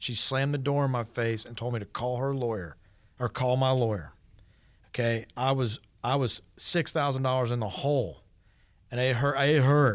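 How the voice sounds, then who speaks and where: A man with an American accent speaks in an unremarkable speaking voice at a moderate pace with fairly even intonation, in a very clean recording with a silent background. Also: medium pitch for a man. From US South, Georgia (East Cobb, Atlanta area). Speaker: painting and siding contractor. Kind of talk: casual radio interview.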